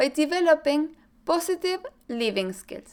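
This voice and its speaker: A woman with a Chilean accent speaks at a fairly slow pace, her intonation lively. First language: Spanish. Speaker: mental performance coach. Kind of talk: scripted presentation.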